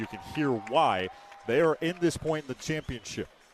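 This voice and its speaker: Music plays in the background as a man speaks. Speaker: sports play-by-play announcer. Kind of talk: radio basketball play-by-play. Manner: fast.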